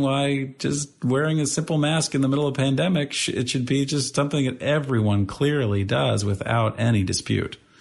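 Against a quiet background, a man with an American accent speaks in a somewhat breathy voice with lively intonation. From St. Louis, Missouri. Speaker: nonprofit founder and CEO. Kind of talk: interview conversation.

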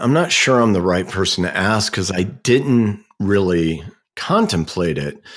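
The man speaks at a fairly slow pace, his pitch fairly low with ordinary variation. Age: 50s. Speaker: entrepreneur. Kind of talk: interview. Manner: halting.

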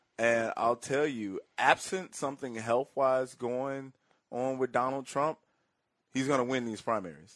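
A normal speaking voice, fairly even in intonation, at a fairly slow pace, with a dry, close sound and no echo. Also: man, medium pitch for a man. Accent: American. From Chicago South Side. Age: 30s. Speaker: political commentator. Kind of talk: political talk interview.

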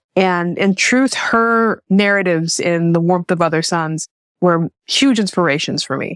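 A woman with an American accent uses a normal speaking voice at a fairly low pitch with ordinary pitch variation, the sound dry and close with no echo on a very clean recording with a silent background. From Jackson, Tennessee (US South). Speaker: novelist. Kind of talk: interview.

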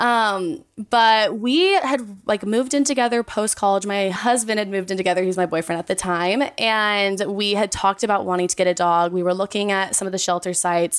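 A woman speaks at a medium pitch with an ordinary speaking voice. Her pitch varies in an ordinary way, and she moves at a fairly quick pace with hardly any pauses. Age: 20s. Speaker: dog owner. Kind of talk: casual chat.

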